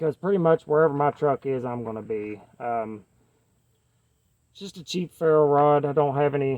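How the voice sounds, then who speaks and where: Delivered in a Kentucky accent at a moderate pace, the speech has ordinary pitch variation, big swings in loudness, and long, frequent pauses. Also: man, fairly high pitch for a man. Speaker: knife reviewer. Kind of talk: casual chat. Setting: outdoors. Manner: casual, many fillers.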